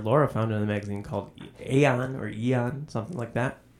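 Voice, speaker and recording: Noticeable background noise sits behind a man's voice. He speaks at a fairly quick pace with a medium pitch. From New England. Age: 40s. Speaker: podcast co-host. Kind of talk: casual chat.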